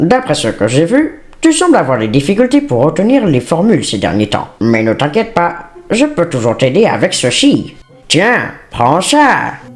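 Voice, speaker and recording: A man puts on a character voice, pitched high with very wide swings. He moves at a moderate pace. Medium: fan dub. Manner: falsely friendly, controlling.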